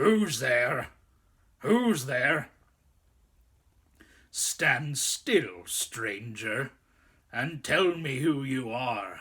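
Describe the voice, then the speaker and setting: A man puts on a raspy, growling character voice at a medium pitch. He goes very slowly, with long, frequent pauses. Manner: threatening.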